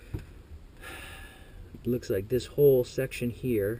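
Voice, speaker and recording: Mumbling, a man speaks with a dark, mellow tone, somewhat breathy and with fairly even intonation. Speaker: airsoft technician. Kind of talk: tutorial. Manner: casual, thinking aloud.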